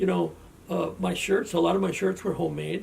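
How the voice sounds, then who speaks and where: With an Upper Midwest accent, a man talks at a moderate pace. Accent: Upper Midwest American. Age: 70s. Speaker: interviewee recalling family history. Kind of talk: oral history interview. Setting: family home. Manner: halting, repeats words.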